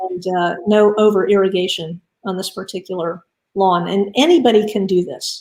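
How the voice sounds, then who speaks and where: This woman has a plain, everyday voice with an American accent and medium pitch. She talks at a moderate pace with fairly even intonation. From Florida, Miami. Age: 60s. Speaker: invited speaker on native plants and water quality. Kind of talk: presentation. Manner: casual, with many filler words.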